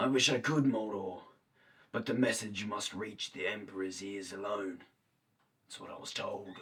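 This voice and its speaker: A man's put-on character voice, raspy and fairly low, at a moderate pace with long, frequent pauses. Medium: short film. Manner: formal, wheedling.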